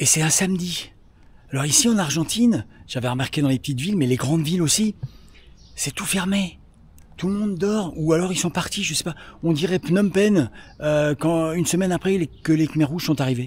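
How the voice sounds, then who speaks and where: Quiet and high-pitched, a man speaks at a moderate pace with ordinary pitch variation and long, frequent pauses. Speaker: cycle touring travel vlogger. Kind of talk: casual travel vlog. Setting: outdoors in an empty city center. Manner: speaking quietly.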